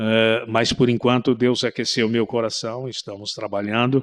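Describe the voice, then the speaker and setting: A man speaks against a quiet background. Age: 60s. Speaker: pastor. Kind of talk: interview testimony.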